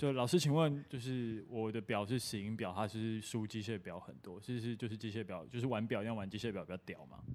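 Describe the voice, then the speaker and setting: A man with an ordinary speaking voice talks at a fairly quick pace with hardly any pauses, his medium pitch moving with ordinary variation. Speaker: podcast co-host. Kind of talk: casual chat.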